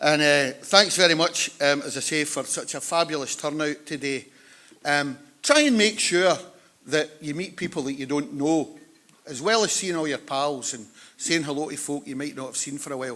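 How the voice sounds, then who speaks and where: A man with a West of Scotland accent talks at a moderate pace and a fairly high pitch, his tone bright and sharp. His pitch varies in an ordinary way, while his loudness swings widely. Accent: West of Scotland Scottish. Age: 60s. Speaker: conference chair. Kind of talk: conference opening remarks. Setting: conference hall with audience. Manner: informal, joking.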